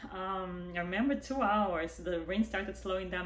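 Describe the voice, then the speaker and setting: With a non-native accent, a woman talks at a moderate pace. Room echo is audible. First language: not English. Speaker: vlogger, widowed mother. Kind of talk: personal testimony. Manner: animated.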